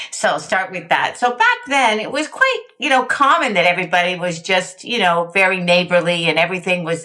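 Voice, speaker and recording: Over noticeable background noise, a woman with a medium pitch and lively intonation talks at a fairly quick pace with hardly any pauses. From Canada, Montreal. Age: 60s. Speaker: sobriety movement founder. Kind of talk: interview.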